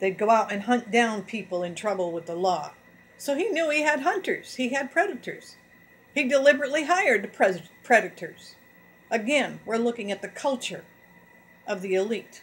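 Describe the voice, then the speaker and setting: A woman's voice at a moderate pace, with very wide pitch swings. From New England, French Canadian descent. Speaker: YouTube channel host; vlogger. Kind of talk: monologue reading and commenting on news articles. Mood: earnest, grievance-driven. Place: home room. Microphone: webcam.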